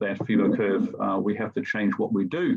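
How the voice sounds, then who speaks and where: At a moderate pace, a man talks in a German accent. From Germany. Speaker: teacher. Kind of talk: presentation. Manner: halting, many fillers.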